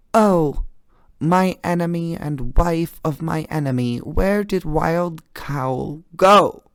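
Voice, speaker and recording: A very slow, high-pitched put-on character voice from a man. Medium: read story. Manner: sly, self-possessed.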